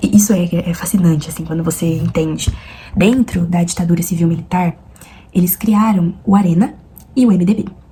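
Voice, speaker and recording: A soft-spoken woman with a fairly low pitch, ordinary pitch variation and a moderate pace, plus noticeable background noise. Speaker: student vlogger. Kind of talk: study vlog explanation. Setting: at home at night. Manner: soft-spoken, talking quietly.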